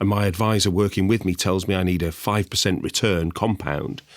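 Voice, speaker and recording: On a very clean recording with a silent background, a man with a northern English accent speaks fairly quickly in a fairly low pitch. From northern England. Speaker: investment sales executive. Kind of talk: podcast discussion.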